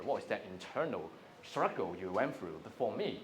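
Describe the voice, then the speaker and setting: A man with a Cantonese accent talks at a fairly quick pace, with noticeable background noise and audible room echo. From Hong Kong. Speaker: inspirational speaker. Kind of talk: motivational talk. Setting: stage with audience.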